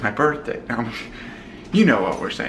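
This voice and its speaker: There is noticeable background noise and audible room echo. A man speaks at a fairly quick pace. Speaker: family vlogger. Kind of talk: casual vlog chat. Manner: whispering.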